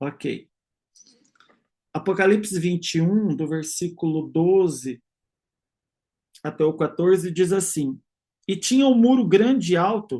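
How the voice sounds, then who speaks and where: Long, frequent pauses interrupt a fairly slow delivery. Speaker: religious teacher. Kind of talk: online lecture.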